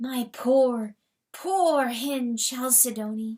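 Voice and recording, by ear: A woman uses a put-on character voice, high in pitch. She speaks at a very slow pace.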